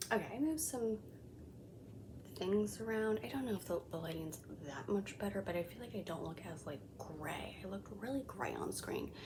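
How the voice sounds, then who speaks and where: A woman speaks at a moderate pace in a medium pitch, her voice swinging very widely up and down, with noticeable background noise. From Colombian heritage. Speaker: beauty vlogger. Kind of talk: makeup review tutorial. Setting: home, kids sleeping nearby. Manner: casual, filler-heavy; whispering.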